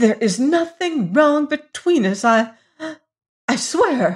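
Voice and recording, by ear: Using a put-on character voice, a woman speaks at a slow pace with a high pitch, big pitch swings and a slightly husky edge in a very clean recording with a silent background.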